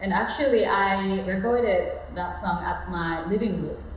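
A woman talks in a Japanese accent, with light background noise and audible room echo. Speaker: soul singer. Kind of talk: interview answer. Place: home room.

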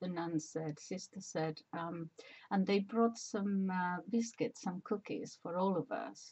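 A somewhat breathy woman's voice at a very slow pace, with ordinary pitch variation. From Spain. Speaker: personal memoir vlogger. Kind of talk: casual talk to camera. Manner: hesitant, rambling. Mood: warm, reflective. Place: home room. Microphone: webcam.

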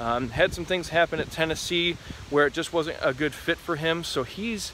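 The intonation stays fairly even as a man talks. Light background noise sits under a dry sound with no echo. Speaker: sports commentator. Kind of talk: commentary. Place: forest. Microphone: phone near.

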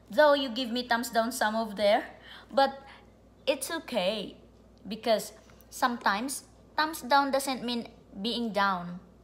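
Speaking very slowly with long, frequent pauses, a woman with a fairly high voice and a non-native accent sounds cheerful and upbeat. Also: ordinary pitch variation. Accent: non-native, foreign-accented English. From immigrant to the US, grew up abroad. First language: not English. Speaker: vlogger. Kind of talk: casual direct-to-camera vlog monologue. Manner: cheerful, upbeat, laughs often; rambling, informal. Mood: warm, upbeat, smiling. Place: home room. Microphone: phone near.

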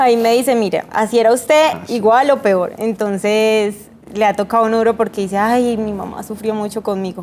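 A woman talks with fairly even intonation at a moderate pace while light background noise runs underneath. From Colombia, Antioquia (paisa), also Eje Cafetero; Antioquia, Colombia. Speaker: model; interview guest. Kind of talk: TV interview. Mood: relaxed, smiling, reminiscing. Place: studio.

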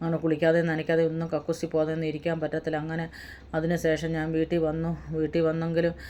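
Her voice fairly low with a dark, mellow tone, a woman speaks in a monotone, flat intonation. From Kerala, Punalur (Kollam district). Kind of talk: personal testimony.

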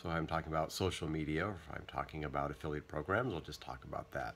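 The man's voice sits at a very deep, low pitch. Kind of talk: casual vlog chat. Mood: relaxed weekend. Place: home room. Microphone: phone near.

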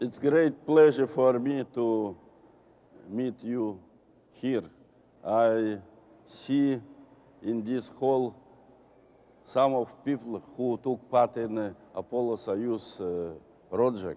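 Speaking with a Russian accent and a dark, mellow tone, a man goes at a very slow pace with long, frequent pauses and ordinary pitch variation. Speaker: retired cosmonaut; guest. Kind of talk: panel discussion with interpreter. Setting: stage with audience. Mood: warm, reflective. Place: hall. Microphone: lapel.

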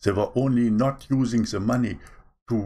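There is a somewhat breathy quality to this man's voice, which shows ordinary pitch variation. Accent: non-native. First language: not English. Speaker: online preacher. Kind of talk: sermon. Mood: earnest, preaching. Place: home room. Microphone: webcam.

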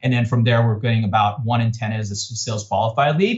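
A man talking at a very fast pace, somewhat breathy, with fairly even intonation against a quiet background. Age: 30s. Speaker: tech startup CEO; guest. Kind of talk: interview. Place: studio. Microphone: video call.

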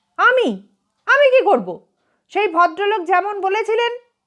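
In a put-on character voice, a woman speaks at an extremely high pitch with a hissing sound. Her pace is moderate. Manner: hissing angrily, indignant.

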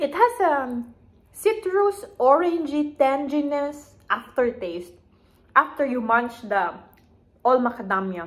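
A woman with a Visayan Filipino accent speaks fairly slowly in a high voice, her pitch swinging very widely. Long pauses come often. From Philippines, Iloilo (Ilonggo region); Philippines. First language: Hiligaynon. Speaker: lifestyle vlogger. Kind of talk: casual vlog chat. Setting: at home, filming herself. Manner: casual, with hesitations. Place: home room. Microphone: phone near.

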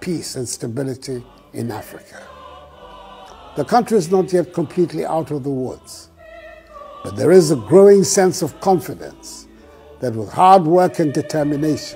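Faint background music under a man talking at a medium speed. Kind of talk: formal holiday address. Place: office. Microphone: lapel.

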